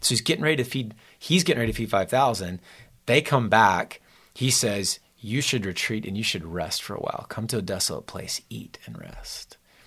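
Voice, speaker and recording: A man with an unremarkable speaking voice talks at a fairly quick pace and medium pitch, with lively intonation and big swings in loudness, in a very clean recording with a silent background. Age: 40s. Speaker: youth pastor. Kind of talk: casual chat.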